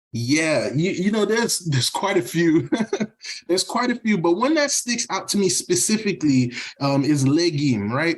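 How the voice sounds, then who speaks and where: In a Haitian accent, a high-voiced man speaks at a moderate pace with very wide pitch swings and very even loudness, over noticeable background noise. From US, raised partly in Haiti. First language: Haitian Creole. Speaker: podcast guest, Haitian-American professional. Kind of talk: casual chat. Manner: hesitant, many fillers and repetitions.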